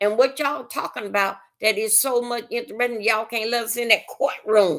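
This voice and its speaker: A woman speaks on a very clean recording with a silent background. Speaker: livestreamer. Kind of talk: casual live stream chat. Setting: live stream. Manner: loud; halting, many fillers.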